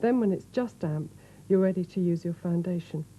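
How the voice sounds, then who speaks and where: A woman's dark, mellow, somewhat breathy voice, fairly low in pitch, with a calm tone and ordinary pitch variation. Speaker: professional makeup artist. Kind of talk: instructional makeup tutorial, 1980s retail video narration. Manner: clear, calm, instructional.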